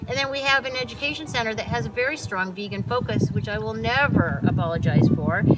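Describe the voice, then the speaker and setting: Speech at a very fast pace with hardly any pauses comes through noticeable background noise. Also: woman. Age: 60s. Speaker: animal sanctuary founder. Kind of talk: interview.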